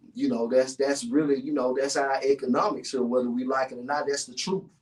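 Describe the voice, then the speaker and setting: A man with a Memphis accent speaks at a medium pitch with ordinary pitch variation. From US South, North Memphis, Tennessee. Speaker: podcast host and guest. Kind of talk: casual interview chat. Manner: halting, many fillers.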